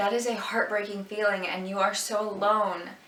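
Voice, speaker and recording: The speech comes at a moderate pace, with audible room echo and noticeable background noise. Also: woman. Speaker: vlogger sharing personal health story. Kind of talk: personal testimony. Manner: halting, with pauses.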